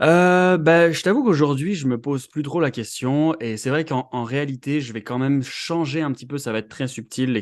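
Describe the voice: A man at a fairly high pitch, moderate pace and ordinary pitch variation, with hardly any pauses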